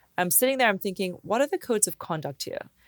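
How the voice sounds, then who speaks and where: An American accent with very wide pitch swings, in a dry, close, echo-free and very clean recording with a silent background. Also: woman. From international upbringing: Papua New Guinea, Hong Kong, UK. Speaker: etiquette expert and author. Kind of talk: casual interview chat.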